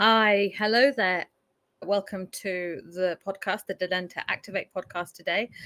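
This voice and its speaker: A woman with a slight Leicestershire accent speaks at a fairly slow pace, her medium-pitched tone bright and sharp with fairly even intonation. The sound is dry and close with no echo, on a very clean recording with a silent background. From Leicestershire, England. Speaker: podcast host. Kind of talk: interview.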